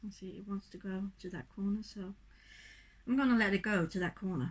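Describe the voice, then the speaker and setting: At a moderate pace, a woman speaks with a somewhat breathy voice, a medium pitch and ordinary pitch variation. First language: not English. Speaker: acrylic pour artist. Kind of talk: tutorial demonstration. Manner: casual, halting.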